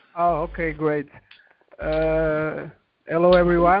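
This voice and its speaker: Talking at a fairly slow pace, a man with a Portuguese accent has a high-pitched voice. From Portugal. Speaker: affiliate member. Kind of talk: conference call question. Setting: computer audio on conference call. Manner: halting, many fillers.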